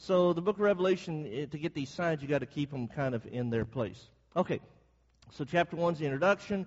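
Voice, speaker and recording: A somewhat breathy man at a fairly quick pace, with lively intonation. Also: fairly high pitch for a man. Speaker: bible class teacher. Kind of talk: bible class lecture. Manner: fast.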